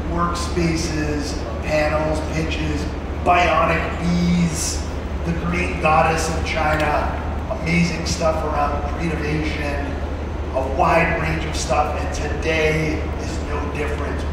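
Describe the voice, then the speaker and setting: Long, frequent pauses break up a man's very slow speech. Loud background noise and audible room echo fill the recording. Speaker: event host. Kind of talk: stage announcement and intro. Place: hall.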